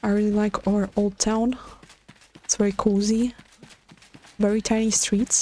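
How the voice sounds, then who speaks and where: A woman speaks quietly at a fairly slow pace in a fairly high pitch, with monotone, flat intonation, very even loudness and long, frequent pauses. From Latvia, Riga. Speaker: game streamer. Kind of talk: casual livestream chat. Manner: halting, stutters.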